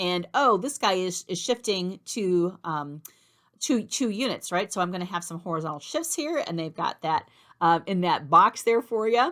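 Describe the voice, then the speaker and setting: A woman at medium pitch speaks at a moderate pace with lively intonation in an ordinary speaking voice. The recording is very clean, with a silent background. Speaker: math instructor. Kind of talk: tutorial. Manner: casual, conversational with fillers.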